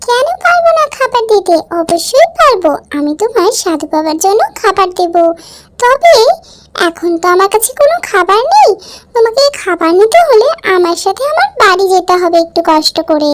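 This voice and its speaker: At a moderate pace, a female-sounding voice puts on a cartoonish character voice with an extremely high pitch. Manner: humble, gentle.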